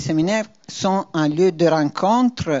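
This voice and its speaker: The speaker has a non-native accent and ordinary pitch variation. The pace is very slow. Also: woman. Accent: foreign accent in French. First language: not French (speaking French). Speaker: university vice-president. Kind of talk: institutional presentation. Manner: hesitant, frequent fillers.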